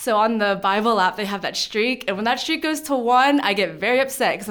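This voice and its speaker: This woman with an American accent has a fairly high pitch and lively intonation at a moderate pace. The recording is very clean, with a silent background. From Pittsburgh, Pennsylvania. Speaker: church youth leader. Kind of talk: personal faith testimony interview. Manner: halting, many fillers.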